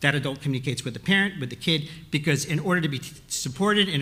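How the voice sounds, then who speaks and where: A man talks at a very fast pace in a bright, sharp tone with ordinary pitch variation. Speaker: retired school principal, panelist. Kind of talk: panel discussion. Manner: halting.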